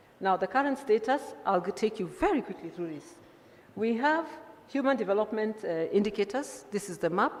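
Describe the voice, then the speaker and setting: A woman's fairly high voice at a fairly quick pace, with very wide pitch swings, big swings in loudness and noticeable background noise. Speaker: engineer presenting at a conference. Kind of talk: conference presentation. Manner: fast.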